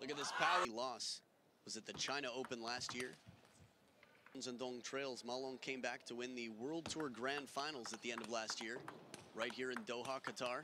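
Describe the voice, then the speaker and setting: An unremarkable speaking voice from a man at medium pitch, moderate in pace with fairly even intonation. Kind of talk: live table tennis commentary. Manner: fluent play-by-play with frequent laughs.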